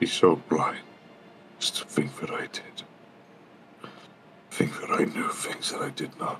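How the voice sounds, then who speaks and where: A man's raspy, put-on character voice at a fairly slow pace, with light background noise. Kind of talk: in-character tabletop roleplay. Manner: contrite, halting, earnest apology.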